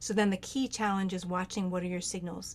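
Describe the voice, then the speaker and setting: A woman with an unremarkable speaking voice talks at a medium pitch. Her pace is fairly quick. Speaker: near-death experiencer and medicine singer. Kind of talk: Q&A advice in online group talk.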